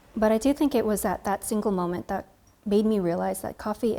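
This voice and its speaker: A woman with an American accent speaks at a fairly quick pace in a dark, mellow tone. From California, US. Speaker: coffee creator and barista. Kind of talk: interview monologue.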